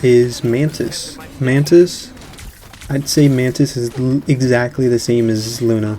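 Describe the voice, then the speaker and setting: The speaker talks at a fairly slow pace with music playing in the background. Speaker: gaming content creator. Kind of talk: gaming tutorial. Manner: casual, filler-heavy.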